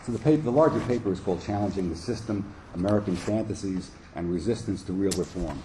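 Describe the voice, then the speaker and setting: Over audible room echo, a man talks at a very fast pace, his fairly low voice dark, mellow and somewhat breathy, with ordinary pitch variation. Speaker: clinical psychologist and psychoanalyst. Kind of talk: conference talk read from paper.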